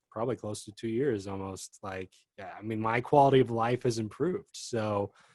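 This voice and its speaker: A man talks at a moderate pace in a medium pitch, with ordinary pitch variation and big swings in loudness. He has a plain, everyday voice, heard as a dry, close sound with no echo. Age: 30s. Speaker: singer-songwriter. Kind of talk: casual chat.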